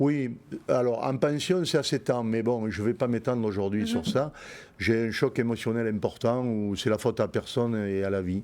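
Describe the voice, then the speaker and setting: This man has a medium pitch and ordinary pitch variation. He keeps a moderate pace. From Montpellier, southern France. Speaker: bull breeder, businessman. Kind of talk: interview answer.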